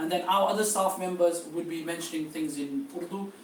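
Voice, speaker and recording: A man's high-pitched voice with noticeable background noise and audible room echo. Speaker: travel agency tour organiser. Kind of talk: seminar briefing. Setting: live-streamed seminar. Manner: hesitant, many fillers.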